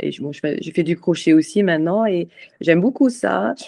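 A woman speaks in a fairly low pitch with a dark, mellow tone and lively intonation. The sound is dry and close with no echo. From Scotland, Edinburgh. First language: English (speaking French). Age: 40s. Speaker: charity president. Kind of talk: interview. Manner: halting.

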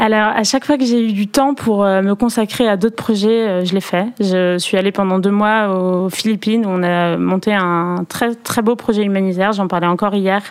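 Using an ordinary speaking voice, a woman talks at a moderate pace and a medium pitch. Her loudness stays very even, her intonation fairly even, with hardly any pauses. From Perpignan, southern France. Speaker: former modern pentathlete, Olympic organizing staff. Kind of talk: interview.

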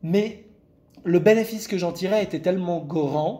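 This man's high pitch carries a dark, mellow tone, ordinary pitch variation, and a fairly slow pace. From Lebanon. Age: 20s. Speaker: content creator sharing eating disorder recovery. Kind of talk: interview, personal testimony. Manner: hesitant, many fillers and repetitions.

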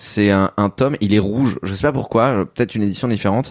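A man's fairly low voice at a very fast pace, ordinary pitch variation, dry and close with no echo, in a very clean recording with a silent background. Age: 30s. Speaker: manga writer. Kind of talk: casual interview.

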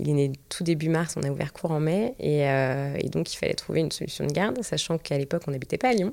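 At a very fast pace with hardly any pauses, a woman with a very deep, low pitch keeps her loudness very even while her intonation stays lively. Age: 30s. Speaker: restaurant entrepreneur and mother. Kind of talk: casual interview. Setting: studio, filmed. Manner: halting, many fillers.

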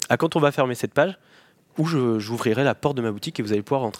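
A man speaks at a fairly quick pace with ordinary pitch variation, recorded dry and close with no echo on a very clean track with a silent background. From Normandy, France (Cotentin, near Cherbourg). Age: 30s. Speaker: appliance repair business owner. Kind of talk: interview. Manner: hesitant, many repetitions and fillers.

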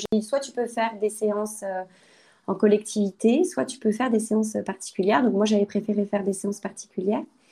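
A woman talks at a fairly quick pace, somewhat breathy. Her voice is fairly high, with ordinary pitch variation. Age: 30s. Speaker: lawyer. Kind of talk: personal testimony interview. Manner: hesitant, many fillers.

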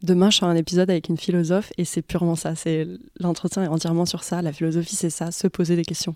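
A fairly low, dark and mellow woman's voice at a very fast pace, monotone and flat, in a very clean recording with a silent background. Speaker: podcast host. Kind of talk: interview conversation.

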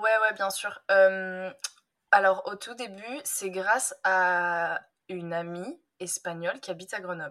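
Very slowly, a woman speaks in a bright, sharp tone at medium pitch, with ordinary pitch variation and big swings in loudness. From France, Drôme (Valence). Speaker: language teacher. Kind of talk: casual chat. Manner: animated.

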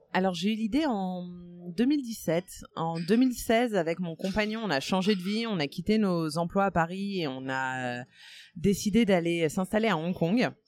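Music plays behind a woman speaking at a fairly slow pace. Her intonation is lively. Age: 30s. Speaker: podcaster. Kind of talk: interview. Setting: café. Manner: hesitant, many fillers.

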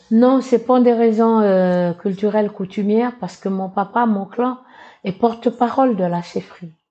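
At a fairly slow pace, a woman talks in a plain, everyday voice, her pitch fairly high and her intonation fairly even. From New Caledonia, Kanak tribe in the north. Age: 60s. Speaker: association president and political aide. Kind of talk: interview. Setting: studio.

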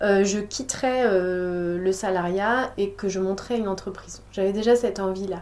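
With noticeable noise in the background, a woman talks at a moderate pace. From western France, La Rochelle. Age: 30s. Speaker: food entrepreneur. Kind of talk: interview. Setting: office. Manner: hesitant, many fillers.

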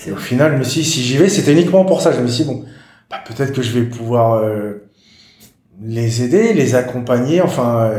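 A man with a medium pitch talks at a moderate pace with lively intonation. His voice is somewhat breathy, and audible room echo surrounds it. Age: 40s. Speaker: patient sharing his story, hiking club founder. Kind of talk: interview testimony. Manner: halting.

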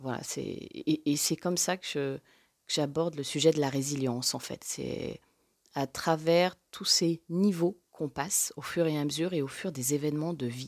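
A woman speaks at a fairly slow pace with a very deep, low pitch. Her intonation stays fairly even. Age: 40s. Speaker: podcaster, former book publisher. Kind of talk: personal testimony interview. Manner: halting, many hesitations and repetitions.

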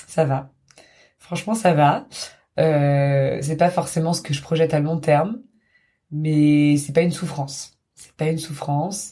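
Delivered at a fairly slow pace with long, frequent pauses, the speech comes through on a very clean recording with a silent background. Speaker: friend of the host. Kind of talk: interview.

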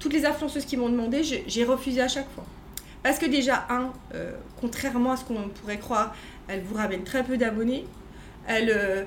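A woman speaks at a high pitch and a fairly quick pace, with ordinary pitch variation and long, frequent pauses. Audible room echo and noticeable background noise are present. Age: 40s. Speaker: entrepreneur. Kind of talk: casual chat. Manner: halting.

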